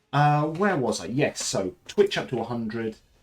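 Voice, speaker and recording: A man with an English accent speaks at a medium pitch, his voice somewhat breathy and swinging very widely in pitch. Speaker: streamer. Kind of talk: casual chat. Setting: live stream. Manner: halting.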